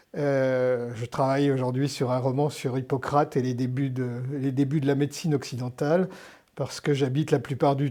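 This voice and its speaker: A man speaks at a fairly slow pace in a dark, mellow tone at medium pitch. The recording is very clean, with a silent background. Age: 60s. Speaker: historian and novelist. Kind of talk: interview. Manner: hesitant, many fillers and repetitions.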